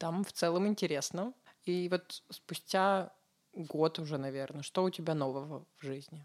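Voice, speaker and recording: A woman speaks in a normal speaking voice at a fairly low pitch and fairly slow pace, with ordinary pitch variation. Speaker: interviewer. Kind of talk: interview, casual chat.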